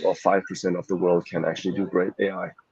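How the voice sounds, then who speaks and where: A man with a German accent, the sound dry and close with no echo. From Germany. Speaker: startup founder and CEO. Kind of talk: interview. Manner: hesitant, many fillers.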